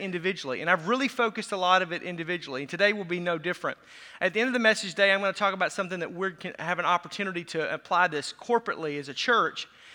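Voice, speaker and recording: A man with an American accent talks at a very fast pace in a raised, projected voice. His pitch is high and his tone is animated, bright and sharp. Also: hardly any pauses. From US Midwest, Racine County, southern Wisconsin. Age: 40s. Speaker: pastor. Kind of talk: sermon. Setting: church. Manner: fast talker.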